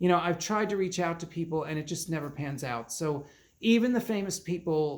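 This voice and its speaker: This man has an ordinary speaking voice, pitched fairly high, and talks at a fairly quick pace. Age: 60s. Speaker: psychic medium. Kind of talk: reading aloud channeled messages and casual commentary.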